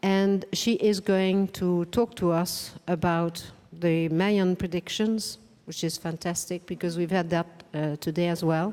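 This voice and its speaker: In a plain, everyday voice, a woman speaks at a fairly slow pace with fairly low pitch and fairly even intonation. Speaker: conference host. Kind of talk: event introduction.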